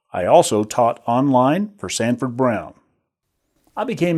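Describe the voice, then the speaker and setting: With an American accent, a man talks at a medium pitch in a dark, mellow tone with lively intonation, recorded very cleanly against a silent background. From US South, northern Alabama. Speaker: online course instructor, army veteran. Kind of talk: recorded course introduction.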